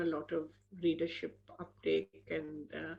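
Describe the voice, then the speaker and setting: The speaker talks with an Indian accent and vocal fry. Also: woman. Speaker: author. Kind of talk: interview.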